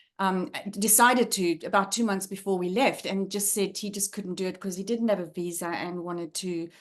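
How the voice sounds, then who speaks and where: A woman with a South African accent at medium pitch and a moderate pace, fairly even intonation, quiet background. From South Africa, Johannesburg. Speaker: leadership trainer and former academic. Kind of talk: guest talk on video call. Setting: video call. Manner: hesitant, many fillers.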